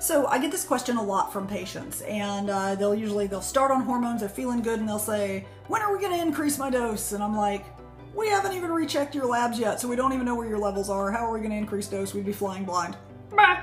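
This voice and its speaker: Over faint background music, a woman speaks very fast. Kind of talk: casual educational talk. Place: office. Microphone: phone near.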